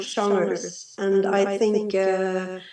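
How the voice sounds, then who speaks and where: A woman's very slow delivery. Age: 60s. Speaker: musician. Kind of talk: panel discussion. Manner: halting.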